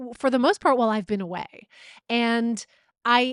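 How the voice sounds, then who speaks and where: A woman with a Canadian accent talks at a fairly quick pace in an animated tone, with ordinary pitch variation, a dry, close sound with no echo and a quiet background. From Canada, Vancouver. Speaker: comedian and TV host. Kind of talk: casual chat.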